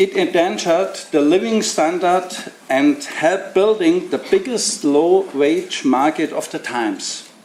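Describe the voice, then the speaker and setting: Amid noticeable background noise, a man with a German accent talks at a fairly slow pace, his high pitch carried by lively intonation. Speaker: left party politician. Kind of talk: prepared speech.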